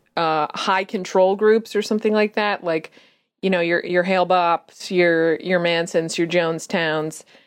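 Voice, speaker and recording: A woman has an unremarkable speaking voice with a fairly low pitch, fairly even intonation and very even loudness against a quiet background. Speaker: comedy podcast co-host. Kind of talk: casual chat.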